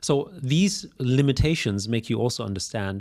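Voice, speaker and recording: With a German accent, a man of medium pitch talks with lively intonation on a very clean recording with a silent background. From Austria. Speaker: business executive. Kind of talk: podcast interview.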